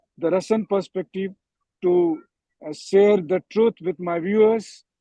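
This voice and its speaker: In an Indian accent, a man speaks with a high pitch, a dark, mellow tone and fairly even intonation, the sound dry and close with no echo. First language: Hindi. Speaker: war correspondent. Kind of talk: panel discussion. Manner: halting, many fillers.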